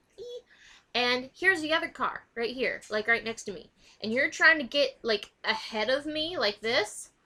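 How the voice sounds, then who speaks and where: In a high pitch, a woman uses a raised, projected voice with a bright, sharp tone. Her delivery is animated, with big swings in loudness. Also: lively intonation, moderate pace. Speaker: vlogger. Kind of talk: casual vlog rant.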